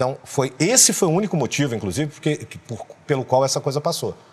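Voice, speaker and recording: Quick-paced but not rushed, a man speaks with vocal fry and lively intonation at a fairly quick pace. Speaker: voice actor and dubbing director. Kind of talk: interview answer. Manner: casual, frank. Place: studio. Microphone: lapel.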